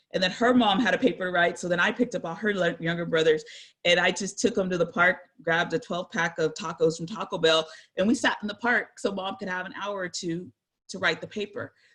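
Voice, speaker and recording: Over a quiet background, a woman with an American accent talks at a fairly quick pace in a normal speaking voice, medium in pitch with ordinary pitch variation. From San Jose, California. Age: 40s. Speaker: guest speaker. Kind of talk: presentation. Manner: casual.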